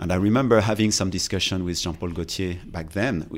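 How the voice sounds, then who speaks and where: In a French accent, a man with a very deep, low pitch speaks at a moderate pace with ordinary pitch variation. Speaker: fashion and design executive. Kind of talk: interview. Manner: halting.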